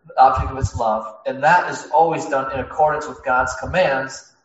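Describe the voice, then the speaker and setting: Audible room echo surrounds a man who speaks fairly quickly. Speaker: preacher. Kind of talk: sermon.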